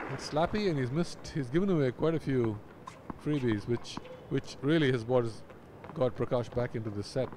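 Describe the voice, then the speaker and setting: A man speaking at a fairly quick pace, with long, frequent pauses, ordinary pitch variation and noticeable background noise. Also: medium pitch for a man. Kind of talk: live commentary. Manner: analytical co-commentator, comments on the rallies.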